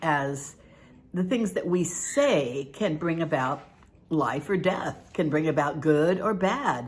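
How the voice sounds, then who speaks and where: A woman speaks at a fairly slow pace. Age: 70s. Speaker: devotional author. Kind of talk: casual talk to camera. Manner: chatty, folksy.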